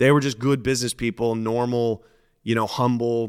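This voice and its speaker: Speaking with a West Coast accent, a man uses a medium pitch and ordinary pitch variation at a moderate pace, the sound dry and close with no echo. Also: very clean recording, silent background. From Portland, Oregon. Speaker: former drug dealer and comedian. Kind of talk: interview storytelling.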